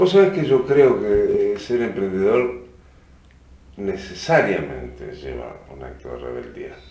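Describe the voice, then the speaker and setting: A man with a Uruguayan accent talks at a fairly slow pace with big swings in loudness, amid noticeable background noise and audible room echo. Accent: Rioplatense Spanish (Uruguayan). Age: 50s. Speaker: musician and cultural venue director. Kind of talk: interview.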